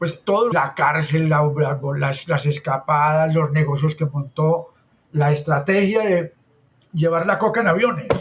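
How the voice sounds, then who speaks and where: Loudness stays very even as a man talks in a normal speaking voice. His pitch is fairly high with ordinary variation. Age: 60s. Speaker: architect and urban planner. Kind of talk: interview conversation.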